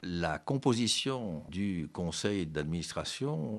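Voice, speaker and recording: A man's very deep, low voice with lively intonation against a quiet background. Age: 60s. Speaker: businessman. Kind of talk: interview. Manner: formal.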